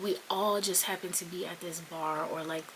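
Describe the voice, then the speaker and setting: A woman with an American accent talks in a fairly low pitch and a monotone, flat intonation, with noticeable background noise. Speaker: Navy sailor and content creator. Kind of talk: storytime vlog.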